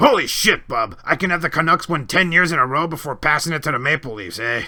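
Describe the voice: A put-on character voice rattles along at a very fast pace. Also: man, fairly high pitch for a man.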